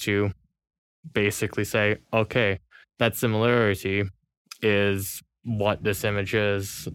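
A man's fairly low, monotone, flat voice at a very slow pace, on a very clean recording with a silent background. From California. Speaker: university student. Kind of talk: casual interview.

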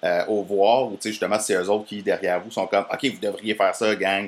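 A man with a Quebec accent speaks at a fairly low pitch. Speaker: podcast host, interviewer. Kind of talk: casual interview. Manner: halting.

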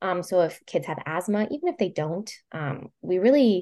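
A woman talks at a moderate pace against a quiet background. Her voice is fairly low, with a dark, mellow tone. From Puerto Rico, moved to mainland US at about thirteen. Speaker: transit advocate speaker for caregivers. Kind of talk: casual interview chat.

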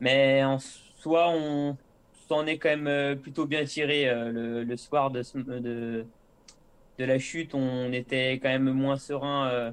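A man's medium-pitched voice at a very slow pace, flat and monotone in intonation. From Savoie, French Alps. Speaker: professional cyclist. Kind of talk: interview. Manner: hesitant, many filler euh.

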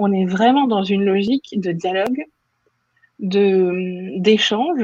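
A woman at a medium pitch with ordinary pitch variation and a very slow pace. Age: 30s. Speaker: communications manager. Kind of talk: interview conversation. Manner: hesitant, frequent filler.

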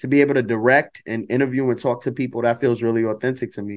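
A man with an unremarkable speaking voice talks at a medium pitch with fairly even intonation against a quiet background. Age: 30s. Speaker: storyteller and creative producer. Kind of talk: casual chat.

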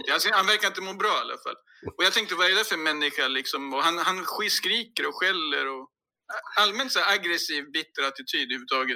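Very fast and raised, a man's projected voice sits at a high pitch. His intonation is lively. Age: 40s. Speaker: podcast guest. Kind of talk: casual chat.

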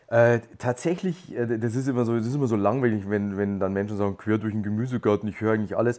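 Speaking at a very fast pace with hardly any pauses, a man with a Bavarian accent has a dark, mellow tone and ordinary pitch variation. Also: medium pitch for a man. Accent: Bavarian dialect speaker. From Lower Bavaria, Germany. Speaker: podcast guest. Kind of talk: casual chat.

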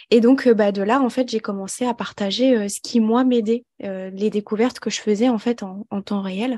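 A dark, mellow tone in a dry, close sound with no echo, against a quiet background. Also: woman. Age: 20s. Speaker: holistic therapist and mentor. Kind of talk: personal testimony interview.

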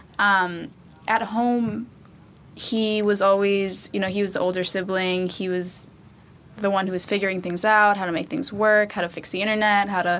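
A woman speaks at a medium pitch with an American accent. Her intonation is fairly even, in an unremarkable speaking voice. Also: moderate pace. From New York City, Queens. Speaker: former youth tech program participant. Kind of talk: casual chat.

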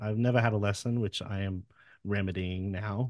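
Speaking at a fairly quick pace with an Australian accent, a man uses a fairly low pitch and fairly even intonation. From Wollongong, Australia. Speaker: musician, singer in a band. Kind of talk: casual interview chat. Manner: casual, swears a lot.

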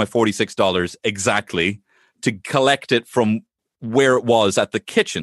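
A man speaks with an Irish accent. The sound is dry and close with no echo, over a quiet background. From Ireland. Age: 30s. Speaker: comedian. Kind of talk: casual chat.

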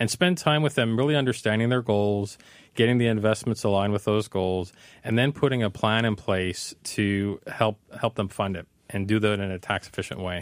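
A man talks in a plain, everyday voice. His pace is moderate and his pitch variation ordinary. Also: fairly low pitch for a man. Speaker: financial planner. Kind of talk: radio call-in advice. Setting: studio.

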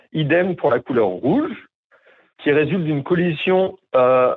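An ordinary speaking voice moves at a fairly slow pace. The intonation is lively. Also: man. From southern France, Montpellier. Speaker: former northern lights tour guide. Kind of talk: interview, explanatory.

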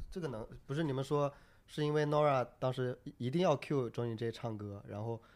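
The speaker has a plain, everyday voice, a moderate pace and ordinary pitch variation. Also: man, medium pitch for a man. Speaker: stand-up comedian. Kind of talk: casual chat about comedy.

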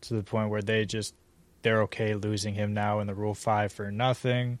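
A man with an American accent, a fairly low pitch and a normal speaking voice. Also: very clean recording, silent background. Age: 20s. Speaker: sports podcast host. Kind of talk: casual chat.

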